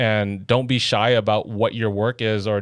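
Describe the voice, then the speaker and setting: In a very clean recording with a silent background, a man speaks with an American accent. His pitch is medium and his intonation fairly even. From Los Angeles, California. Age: 30s. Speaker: automotive photographer. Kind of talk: casual chat. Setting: studio.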